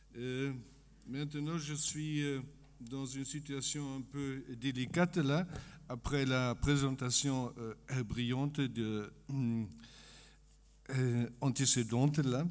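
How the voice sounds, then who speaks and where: A man speaks at a very slow pace with long, frequent pauses, his medium pitch and fairly even intonation carried over audible room echo. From Germany. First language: German (speaking French). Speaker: economist. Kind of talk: conference talk. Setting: conference stage with audience. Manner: halting, many hesitations.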